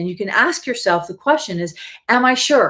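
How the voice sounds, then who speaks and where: A woman with an American accent talks in a very clean recording against a silent background. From US Midwest, Wisconsin. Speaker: life coach and facilitator. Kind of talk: live stream talk. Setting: live video stream. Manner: animated.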